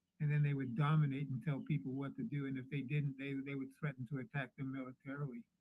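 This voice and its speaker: Somewhat breathy speech from a man at a fairly high pitch. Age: 70s. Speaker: caller. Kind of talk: heated debate.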